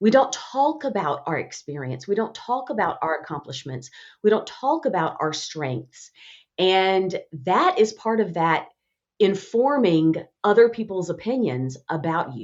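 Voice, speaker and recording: This woman speaks with a Southern accent at a fairly slow pace. Her pitch swings very widely. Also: medium pitch for a woman. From Alabama, US South. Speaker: communication expert and author. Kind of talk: podcast interview.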